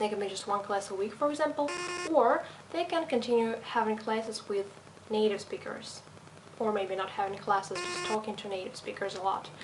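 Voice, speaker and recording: A woman speaks fairly quickly at a fairly high pitch, with lively intonation. Noticeable background noise and audible room echo fill the recording. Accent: slight European. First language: not English. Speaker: language teacher. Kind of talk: video self-introduction.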